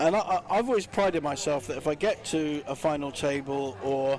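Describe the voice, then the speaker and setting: There is noticeable background noise behind the speaker. A man talks at a fairly high pitch with ordinary pitch variation. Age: 60s. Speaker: poker player. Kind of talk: casual chat. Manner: halting.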